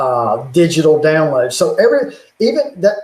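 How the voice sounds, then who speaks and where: This man speaks with a Southern US accent. His pitch is high. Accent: Southern drawl. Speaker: YouTuber on religion and technology. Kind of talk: casual chat.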